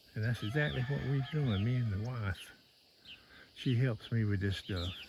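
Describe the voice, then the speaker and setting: A man speaks with a Southern US accent at a fairly slow pace. His pitch varies in an ordinary way. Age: 60s. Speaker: goat farmer and homesteading vlogger. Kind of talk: casual farm vlog talk. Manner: halting.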